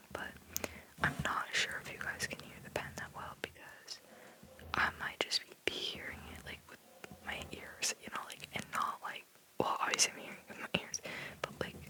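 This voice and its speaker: Whispering at a moderate pace, the speaker leaves long, frequent pauses while noticeable background noise carries on. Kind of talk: ASMR whisper video, casual talk while drawing. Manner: whispered, rambling, casual.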